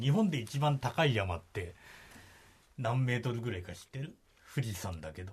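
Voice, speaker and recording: A somewhat breathy man's voice swings very widely in pitch. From Kagoshima, Japan. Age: 50s. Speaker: radio reporter. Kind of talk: casual explanatory chat on radio.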